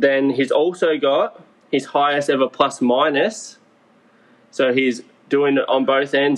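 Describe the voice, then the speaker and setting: In an Australian accent, a man talks at a fairly high pitch with fairly even intonation. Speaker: sports podcast co-host. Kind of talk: casual chat.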